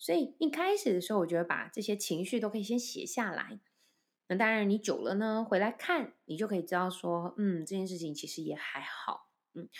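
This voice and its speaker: On a very clean recording with a silent background, a woman talks at a fairly quick pace with lively intonation and a medium pitch. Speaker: voice and speech coach, podcast host. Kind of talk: solo podcast talk. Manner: relaxed, light humorous tone.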